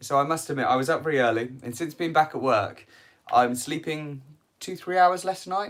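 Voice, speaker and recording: On a very clean recording with a silent background, a man with a British accent talks fairly quickly in a fairly high voice with lively intonation. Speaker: cycling youtuber. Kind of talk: live stream q&a. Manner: casual, hesitant.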